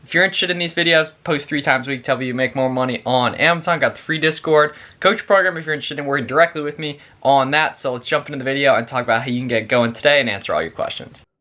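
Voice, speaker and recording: A speaker with an American accent talks at a very fast pace. The pitch varies in an ordinary way. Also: man, fairly high pitch for a man. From Pennsylvania. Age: 20s. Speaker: online seller and business coach; online seller, business coach. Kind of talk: tutorial. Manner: casual, conversational. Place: home room.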